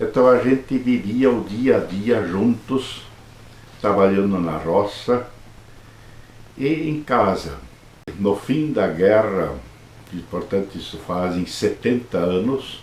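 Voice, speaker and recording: A man with a fairly low pitch and lively intonation speaks very slowly, pausing long and often. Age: 70s. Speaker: Jesuit priest. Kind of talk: interview, life story.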